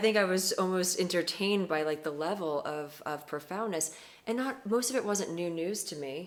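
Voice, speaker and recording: Talking at a moderate pace with lively intonation, a woman uses a medium pitch against noticeable background noise. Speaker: interviewer. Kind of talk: casual interview talk.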